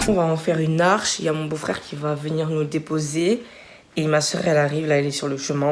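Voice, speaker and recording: A woman speaks at a fairly quick pace in a flat monotone with a very deep, low pitch. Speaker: vlogger. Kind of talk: casual vlog.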